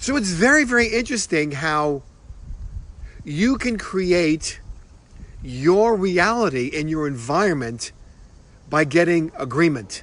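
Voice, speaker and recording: With a New York accent and a high pitch, a man talks at a fairly slow pace, his pitch swinging very widely between long, frequent pauses. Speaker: motivational speaker. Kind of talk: motivational talk. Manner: casual, repetitive with many fillers.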